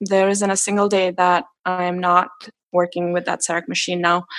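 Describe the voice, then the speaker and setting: A woman speaks at a medium pitch in a flat monotone. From India. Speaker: dentist. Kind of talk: interview.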